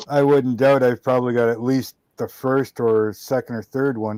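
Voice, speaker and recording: A man speaks at a medium pitch and a moderate pace with monotone, flat intonation. The sound is dry and close, with no echo. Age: 40s. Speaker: model car builder and YouTuber. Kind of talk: casual chat.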